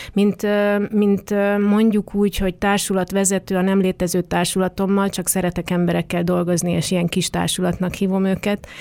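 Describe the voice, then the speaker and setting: A woman of medium pitch speaks at a moderate pace with very even loudness and monotone, flat intonation. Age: 40s. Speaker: dance artist and arts organization leader. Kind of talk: interview. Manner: hesitant with fillers.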